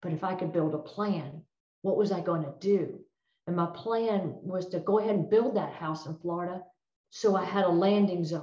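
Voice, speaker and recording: At a moderate pace, a woman speaks at a medium pitch in a dark, mellow tone that is somewhat breathy. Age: 60s. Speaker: retired federal drug agent. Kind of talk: presentation.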